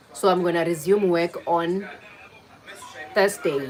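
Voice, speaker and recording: Over noticeable background noise, a woman speaks at a fairly slow pace with a fairly low pitch. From South Africa. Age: 40s. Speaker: livestreamer, remote office worker. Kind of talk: casual livestream chat. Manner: casual, chatty.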